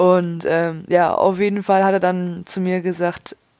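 A woman's fairly low pitch in flat, monotone intonation. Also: very clean recording, silent background. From Leipzig, Saxony. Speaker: podcaster. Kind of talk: personal monologue.

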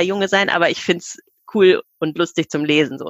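A woman speaks in a plain, everyday voice, keeping a moderate pace, a medium pitch and ordinary pitch variation. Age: 40s. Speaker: children's book author. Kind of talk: podcast interview.

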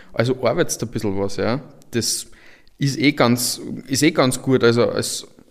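At a medium pitch with ordinary pitch variation, a man talks in an unremarkable speaking voice. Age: 20s. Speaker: software entrepreneur. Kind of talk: panel discussion.

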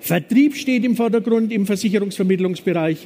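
Here a man speaks with a Franconian accent. His pitch is high, with ordinary variation. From Franconia, Germany (Nuremberg). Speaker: business consultant. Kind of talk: conference talk. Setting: stage with audience.

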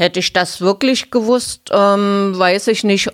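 Speaking at a fairly slow pace, a woman has a plain, everyday voice with ordinary pitch variation. The recording is very clean with a silent background. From eastern Germany, Halle (Saxony-Anhalt). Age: 50s. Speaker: former punk singer. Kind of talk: interview. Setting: studio.

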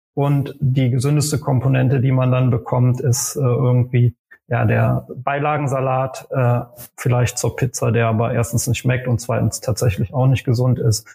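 Keeping a moderate pace and very even loudness, a man speaks at a medium pitch in a monotone, flat delivery. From western Germany, Aachen. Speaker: startup founder and CEO. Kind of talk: podcast interview. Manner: hesitant, many fillers.

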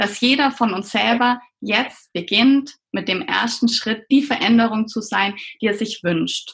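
Here a woman talks at a very slow pace. Her fairly high voice shows ordinary pitch variation. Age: 30s. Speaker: pediatrician and coach for doctors. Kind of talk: interview.

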